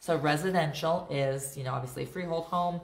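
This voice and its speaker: Room echo is audible as a somewhat breathy woman talks at a very fast pace. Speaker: real estate agent. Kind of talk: livestream Q&A and market update. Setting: live video stream. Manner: casual, filler-heavy.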